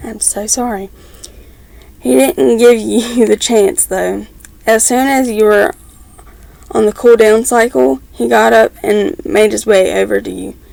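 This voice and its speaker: A woman talks at a fairly slow pace with long, frequent pauses, and noticeable background noise is present. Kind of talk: fan fiction reading. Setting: at home with background noise. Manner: stumbles over words, stuttering.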